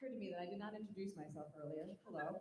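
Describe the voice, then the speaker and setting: Shaky speech with ordinary pitch variation comes through alongside audible room echo. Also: woman. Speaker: high school band director. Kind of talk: speech honoring graduating seniors at a concert. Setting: stage with audience. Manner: shaky voice.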